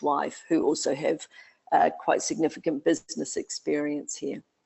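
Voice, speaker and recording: Over music in the background, a woman speaks at a moderate pace with a New Zealand accent. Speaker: education consultant, expat. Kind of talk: webinar interview.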